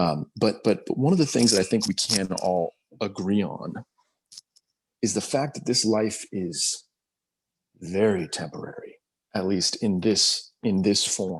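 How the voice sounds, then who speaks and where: A soft-spoken man talks at a fairly slow pace and a fairly low pitch, with ordinary pitch variation. Long pauses come often. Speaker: spiritual discussion group host. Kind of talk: group video call discussion. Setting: video call. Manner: halting, many repetitions.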